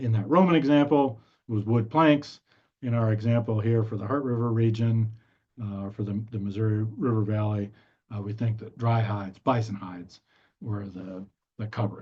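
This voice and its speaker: The speaker has a dark, mellow tone, somewhat breathy, with ordinary pitch variation at a moderate pace. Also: man, medium pitch for a man. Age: 60s. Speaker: archaeologist. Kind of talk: lecture. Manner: halting, many fillers.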